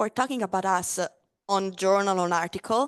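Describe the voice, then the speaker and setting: With an Italian accent, a woman at medium pitch speaks at a fairly quick pace and with lively intonation, her sound dry and close with no echo over a quiet background. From Italy, Friuli Venezia Giulia. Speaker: spirits brand ambassador. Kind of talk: casual interview at a live tasting. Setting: live-streamed tasting with audience. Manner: hesitant, many fillers.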